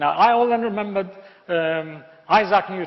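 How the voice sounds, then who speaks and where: Speaking at a moderate pace, a man has a high-pitched voice. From Iraq, Baghdad. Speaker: engineering professor. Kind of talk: motivational speech. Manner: hesitant, many fillers.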